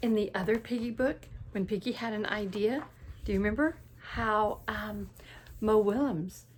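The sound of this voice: An unforced reading voice is used throughout.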